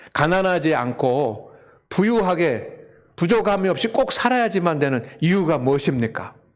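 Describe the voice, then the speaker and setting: High male voice with very wide pitch swings and audible room echo. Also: moderate pace, very even loudness. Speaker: pastor. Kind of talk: sermon. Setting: church with congregation.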